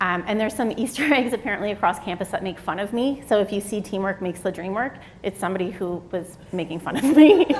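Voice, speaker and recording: Her pitch medium with ordinary variation, a woman speaks at a fairly quick pace. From Atlantic Canada, Halifax. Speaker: psychology professor, keynote speaker. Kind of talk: keynote lecture. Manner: energetic.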